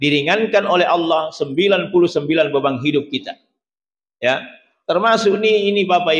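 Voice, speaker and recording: Light background noise runs under a man's voice. He speaks at a fairly slow pace with ordinary pitch variation. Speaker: preacher. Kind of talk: sermon. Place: church. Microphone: podium.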